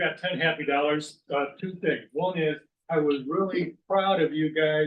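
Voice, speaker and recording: Fairly high-pitched male voice, fairly slow, with monotone, flat intonation. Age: 60s. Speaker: club member. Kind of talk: casual chat.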